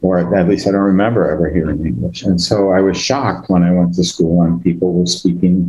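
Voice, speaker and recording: A man's very deep, low voice with a Boston accent, moderate pace and fairly even intonation. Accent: American (Boston area). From Massachusetts, Greek immigrant neighborhood near Boston. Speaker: biotech executive and scientist. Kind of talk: panel discussion.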